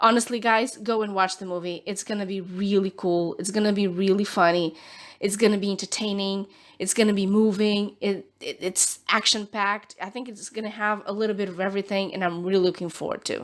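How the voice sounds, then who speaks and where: A woman's animated, medium-pitched voice with a Portuguese accent, fairly quick pace, very clean recording and silent background. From Portugal. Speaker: nail art youtuber. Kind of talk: tutorial.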